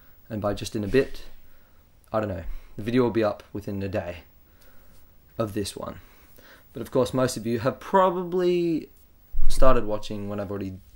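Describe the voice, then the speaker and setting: With an Australian accent, a man speaks at a medium pitch and a moderate pace, pausing long and often. His pitch swings very widely and his loudness rises and falls sharply. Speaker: video game commentator. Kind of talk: gameplay commentary. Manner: casual, rambling with fillers.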